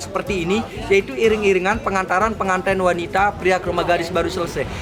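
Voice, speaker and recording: Against background music and audible room echo, a man with a Lombok accent talks very fast in a high pitch with fairly even intonation. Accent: Sasak regional accent in Indonesian. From Lombok, Indonesia (Sasak). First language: Sasak (speaking Indonesian). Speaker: local village tour guide. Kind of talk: guided tour explanation. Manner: casual, halting with fillers.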